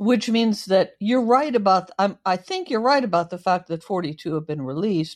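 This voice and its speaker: A woman talks at a moderate pace in a normal speaking voice, with lively intonation and hardly any pauses. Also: medium pitch for a woman. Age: 60s. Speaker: author. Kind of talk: casual interview chat.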